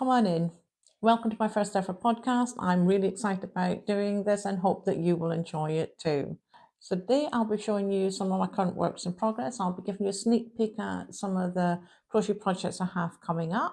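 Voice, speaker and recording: A woman speaks with a Shetland accent at a medium pitch, in a dark, mellow tone. Her pace is fairly quick, with ordinary pitch variation. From Shetland Isles, Scotland. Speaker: crochet podcaster. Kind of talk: casual chat.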